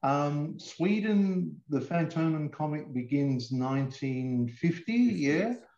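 A man with an Australian accent speaks very slowly in a fairly high voice with lively intonation. His tone is dark and mellow. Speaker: comics writer and author. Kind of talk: interview.

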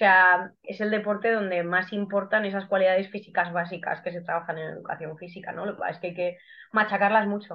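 A woman at a fairly quick pace, medium in pitch, with monotone, flat intonation. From Guadalajara, Spain. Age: 30s. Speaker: athlete and biologist. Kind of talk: podcast interview.

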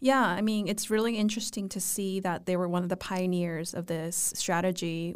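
At a moderate pace, a woman with a fairly low pitch and ordinary pitch variation speaks in an ordinary speaking voice. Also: very clean recording, silent background. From Vancouver, Canada. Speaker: podcast host. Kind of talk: interview.

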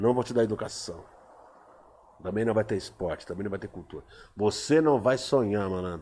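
A man with a fairly low pitch and a dark, mellow tone talks at a moderate pace with ordinary pitch variation. His loudness swings widely, and he leaves long, frequent pauses. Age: 50s. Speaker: poet. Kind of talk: casual chat.

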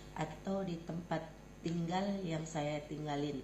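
The speaking pace is very slow. Room echo can be heard. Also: woman. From Riau Islands, Indonesia (Bintan). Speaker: community volunteer and preschool teacher. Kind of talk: interview. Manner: halting.

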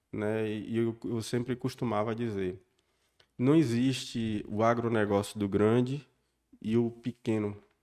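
A very clean recording with a silent background, the intonation fairly even. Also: man. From Bahia, Brazil (southern Bahia). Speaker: local politician. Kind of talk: casual interview.

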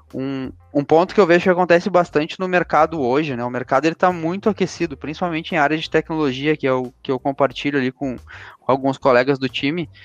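Music plays in the background as a man with a fairly high pitch and ordinary pitch variation talks at a fairly quick pace, the sound dry and close with no echo. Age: 20s. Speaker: credit products coordinator. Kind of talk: interview. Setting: podcast recording.

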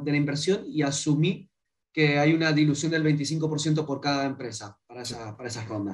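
At a fairly slow pace, the speaker's somewhat breathy voice carries on. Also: man. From Argentina, Mendoza. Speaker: startup founder. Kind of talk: interview. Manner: animated.

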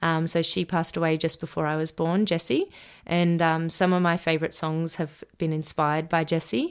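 Speaking with an Australian accent, a woman talks at a fairly quick pace and a fairly low pitch. The recording is very clean, the background silent. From Australia, Sunshine Coast Queensland. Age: 20s. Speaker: young country musician. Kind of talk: interview. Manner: hesitant, many ums.

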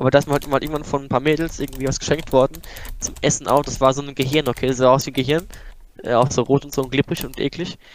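A man talks at a very fast pace with a fairly high pitch. His intonation stays monotone and flat. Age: 20s. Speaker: podcast guest, former classmate. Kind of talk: casual chat.

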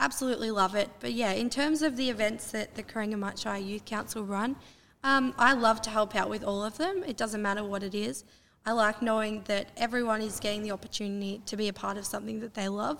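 A woman with an Australian accent at a very fast pace, with ordinary pitch variation. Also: fairly high pitch for a woman. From Terang, Victoria, Australia. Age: 20s. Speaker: university student, youth council member. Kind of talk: interview.

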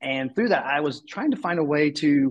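One man speaks in an ordinary speaking voice. His pitch is fairly high and his pace moderate. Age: 40s. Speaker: nonprofit executive. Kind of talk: interview.

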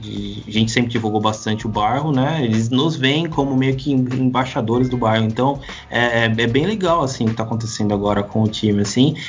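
A man's medium-pitched voice at a fairly quick pace, with ordinary pitch variation, hardly any pauses, audible room echo and noticeable background noise. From Brazil. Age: 20s. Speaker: basketball podcaster and tech worker. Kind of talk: casual interview.

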